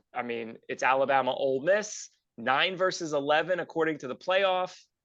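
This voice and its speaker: A man with an unremarkable speaking voice, ordinary pitch variation and a moderate pace. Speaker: sports podcast co-host. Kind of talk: casual sports talk, betting picks.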